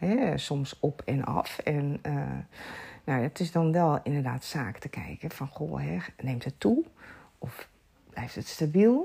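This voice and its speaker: Speaking very slowly with long, frequent pauses, a woman uses a very deep, low pitch with vocal fry and lively intonation. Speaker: sleep and lifestyle coach. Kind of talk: casual chat.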